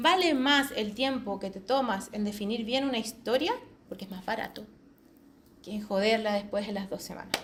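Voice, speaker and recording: Against noticeable background noise, a woman with a fairly high pitch sounds animated, her loudness swinging widely while her pitch varies in an ordinary way. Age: 40s. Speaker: quality assurance specialist. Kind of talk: conference talk. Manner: fast.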